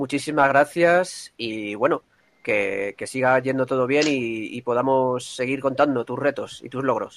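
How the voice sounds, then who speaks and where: A man in a normal speaking voice talks fairly slowly, his pitch varying in an ordinary way. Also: medium pitch for a man. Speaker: radio host. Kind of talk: radio program hosting. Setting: remote via internet. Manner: formal.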